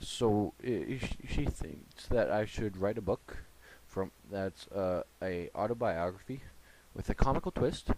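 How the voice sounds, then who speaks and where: The pace is very slow. A man speaks at a fairly low pitch. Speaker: youtuber hosting a comedy talk show. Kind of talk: casual comedic monologue. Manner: stammering, trouble getting words out; rambling, hesitant.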